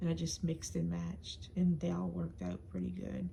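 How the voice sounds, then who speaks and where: Whispering, a woman speaks. Her pace is moderate. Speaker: crafter showing swap items. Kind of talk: show-and-tell video. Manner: hesitant, many fillers.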